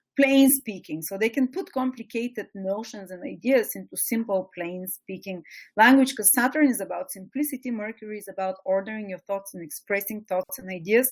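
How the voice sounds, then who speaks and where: With a strong Eastern European accent, a woman speaks at a fairly quick pace with hardly any pauses, a fairly high pitch, ordinary pitch variation and big swings in loudness. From Bulgaria, small provincial town. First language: Bulgarian. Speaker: astrology teacher. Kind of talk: webinar lecture. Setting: webinar.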